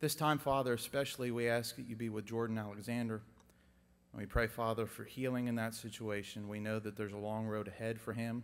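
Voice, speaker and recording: Fairly quick and monotone, a man speaks with flat intonation. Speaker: prayer leader. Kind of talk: public prayer. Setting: church chapel with audience. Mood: solemn, earnest. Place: church. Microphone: podium.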